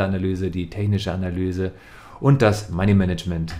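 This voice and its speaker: Here is a man with an unremarkable speaking voice, fairly low in pitch. He talks at a fairly quick pace with fairly even intonation. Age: 30s. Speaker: trading educator. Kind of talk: scripted narration. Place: home room. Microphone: studio mic.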